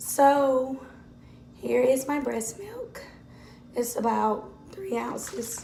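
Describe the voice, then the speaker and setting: A woman speaks at a very slow pace with long, frequent pauses, over noticeable background noise and audible room echo. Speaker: mom vlogger. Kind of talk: tutorial.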